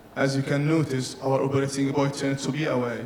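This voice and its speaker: Noticeable background noise and audible room echo surround a man whose voice sits at a fairly high pitch. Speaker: engineering presenter. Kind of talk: technical presentation. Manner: fast.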